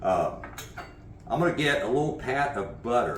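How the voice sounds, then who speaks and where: A man keeps a moderate pace, his voice carrying audible room echo. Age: 60s. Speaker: horseman and martial arts coach. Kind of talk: cooking tutorial vlog. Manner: casual, conversational with filler uhs.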